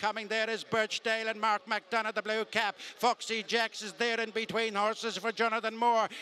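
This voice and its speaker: A man's raised, projected voice, high in pitch, with a bright, sharp tone. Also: dry, close sound with no echo. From Ireland. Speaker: horse racing commentator. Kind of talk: live horse race commentary.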